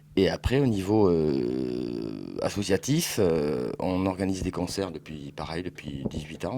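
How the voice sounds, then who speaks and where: Over noticeable background noise, a man speaks with a very deep, low pitch and lively intonation. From southwest France, Bordeaux. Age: 40s. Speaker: record dealer. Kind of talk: interview. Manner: hesitant, many fillers.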